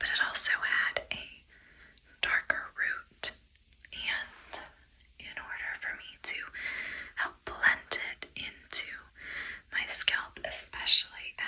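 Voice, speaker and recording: Whispering very slowly with long, frequent pauses, a woman keeps a gentle, calm tone while her loudness swings widely over noticeable background noise. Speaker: ASMR creator and cancer survivor. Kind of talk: ASMR wig fitting, soft personal talk to camera. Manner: soft-spoken, gentle, calm.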